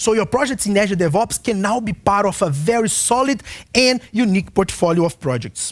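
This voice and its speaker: Against a quiet background, a man with a high pitch speaks fairly quickly with lively intonation. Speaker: software consultant giving product webinar; presenter. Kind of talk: webinar product presentation. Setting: online broadcast. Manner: fast. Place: studio. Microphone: headset.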